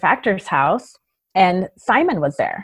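Against a quiet background, a woman speaks at medium pitch. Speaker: entrepreneur. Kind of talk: interview.

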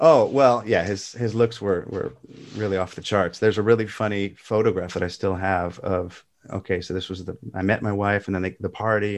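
Against a quiet background, a man with an American accent speaks at a fairly low pitch with fairly even intonation. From California, US West Coast. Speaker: classical guitarist and music teacher. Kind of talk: casual interview. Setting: remote call. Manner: halting, many false starts; talkative.

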